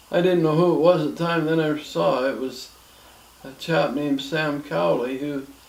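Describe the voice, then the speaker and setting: In a Canadian accent, a man with a fairly high voice speaks at a moderate pace with ordinary pitch variation, amid noticeable background noise and audible room echo. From Ontario, Canada. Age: 70s. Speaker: grandfather telling his life story. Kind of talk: oral history interview. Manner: halting with fillers.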